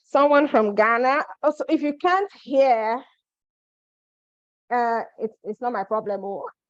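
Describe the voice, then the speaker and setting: Long, frequent pauses break up this loud voice, which moves at a fairly slow pace with lively intonation. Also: woman, high pitch for a woman. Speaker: immigration advice presenter. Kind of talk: live webinar.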